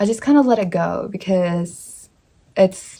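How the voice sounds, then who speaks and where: Her voice somewhat breathy, a woman talks at a medium pitch. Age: 20s. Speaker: lifestyle vlogger. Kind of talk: casual talk to camera. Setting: home, in front of bookshelf. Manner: halting, many fillers and restarts.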